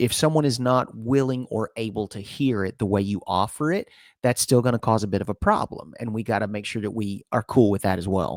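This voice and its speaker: A man with an American accent talks at a fairly quick pace with hardly any pauses. The recording is very clean, with a silent background and a dry, close sound with no echo. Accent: Southern US twang, comes and goes. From Alabama. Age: 40s. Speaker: podcast host. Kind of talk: casual chat.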